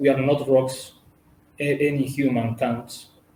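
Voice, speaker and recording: Somewhat breathy, a man with an Italian accent speaks at a fairly slow pace. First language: Italian or Spanish. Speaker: representative of a cultural and humanitarian organization. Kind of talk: interview. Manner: halting.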